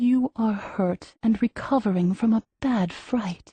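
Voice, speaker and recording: A female-sounding put-on character voice, fairly high for a woman, at a fairly slow pace. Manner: soothing, gentle.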